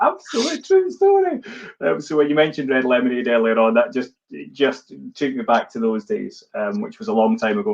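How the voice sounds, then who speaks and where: A man talks at a fairly quick pace with a Scottish accent. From Scotland. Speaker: live-stream host. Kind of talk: casual chat on a live stream. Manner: animated.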